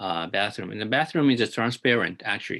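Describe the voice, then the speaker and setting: This voice has a bright, sharp tone and a Japanese accent. The background is quiet. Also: man. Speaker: architect. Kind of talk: lecture. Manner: halting, many fillers.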